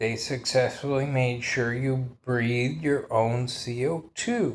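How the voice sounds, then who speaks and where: A man speaks at a very slow pace. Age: 40s. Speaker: vlogger. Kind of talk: monologue. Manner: animated.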